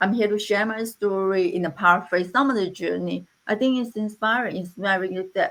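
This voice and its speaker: A woman's medium-pitched voice at a moderate pace. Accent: non-native. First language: not English. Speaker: interventional radiologist. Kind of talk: panel discussion. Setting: online live panel.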